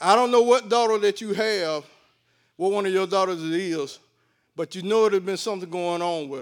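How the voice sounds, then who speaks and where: A man with a Southern US accent, high in pitch with ordinary variation, at a moderate pace with big swings in loudness, in a very clean recording with a silent background. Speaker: lay prophetic minister. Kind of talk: prophecy.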